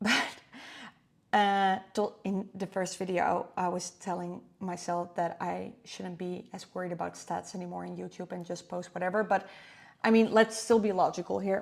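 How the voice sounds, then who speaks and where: On a very clean recording with a silent background, a woman with a non-native accent talks fairly slowly at a medium pitch, her intonation monotone and flat while her loudness swings widely. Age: 30s. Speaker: vlogger. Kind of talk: screen-recording tutorial vlog. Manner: casual, hesitant with fillers.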